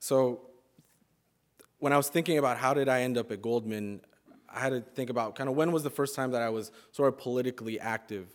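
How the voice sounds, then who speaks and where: A man speaks at a very fast pace in a medium pitch. Long, frequent pauses break up his fairly even intonation. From California, Sonoma County (born in Mexico, arrived at age one). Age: 20s. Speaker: graduate student speaker. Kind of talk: speech to an audience. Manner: hesitant, many fillers.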